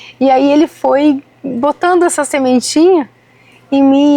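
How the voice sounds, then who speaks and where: A woman at a high pitch with ordinary pitch variation, a dry, close sound with no echo, and music in the background. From Rio de Janeiro, Brazil. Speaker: citrus farmer. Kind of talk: podcast interview.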